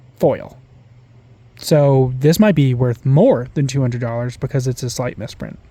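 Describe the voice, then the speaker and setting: At a fairly slow pace, a man with a medium-pitched, dark, mellow and somewhat breathy voice speaks with ordinary pitch variation. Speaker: card collector YouTuber. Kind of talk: casual pack-opening commentary. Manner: stuttering from excitement.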